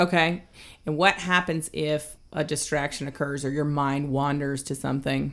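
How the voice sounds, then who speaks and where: A woman with an American accent speaks in a relaxed tone at a very deep, low pitch, on a very clean recording with a silent background. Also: fairly even intonation, moderate pace. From US South. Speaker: podcast co-host. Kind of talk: casual chat. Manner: conversational, relaxed, laughs often.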